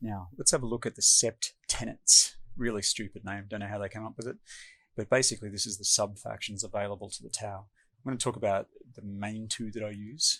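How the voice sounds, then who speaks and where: A man with an Australian accent, fairly low pitch and a bright, sharp tone, fairly quick and fairly even in intonation, with big swings in loudness in a very clean recording with a silent background. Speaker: tabletop game player explaining strategy. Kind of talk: tutorial. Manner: casual, many fillers.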